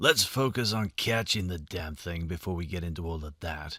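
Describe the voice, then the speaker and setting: In a put-on character voice, a man growls in a raspy, very deep, low pitch at a moderate pace, in a very clean recording with a silent background. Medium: read story. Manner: domineering, brusque.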